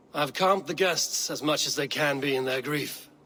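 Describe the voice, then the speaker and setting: Using a raspy put-on character voice, a man speaks at a moderate pace and a fairly high pitch. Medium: video game.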